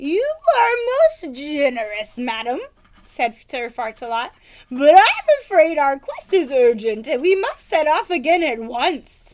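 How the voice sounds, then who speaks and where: A woman performs a put-on character voice at a high pitch with very wide pitch swings. She speaks at a fairly slow pace. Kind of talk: archaic chivalric speech. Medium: read story. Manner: grand, earnest.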